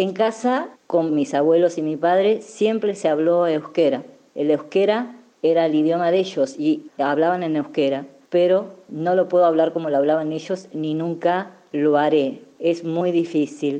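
The tone is dark and mellow, and the intonation is lively. The pace is fairly slow. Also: woman. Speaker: president of a Basque community centre. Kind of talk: personal testimony.

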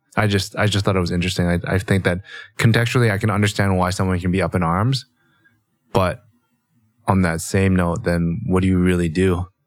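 A man with a Canadian accent speaks at a very deep, low pitch and a fairly quick pace, yet with long, frequent pauses. His intonation is fairly even and his loudness very even. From Canada. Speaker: podcast co-host. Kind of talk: casual chat.

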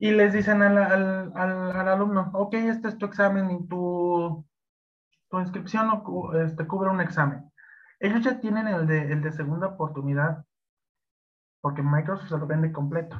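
Speaking in a high voice with ordinary pitch variation, the man leaves long, frequent pauses. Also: moderate pace. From Mexico. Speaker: Excel instructor. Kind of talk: interview. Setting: live stream. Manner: halting, many fillers.

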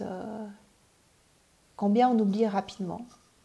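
A somewhat breathy, dark, mellow tone with fairly even intonation at a fairly slow pace. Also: woman. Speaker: parenting and personal development coach. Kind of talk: personal development video talk. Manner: hesitant, many fillers and repetitions.

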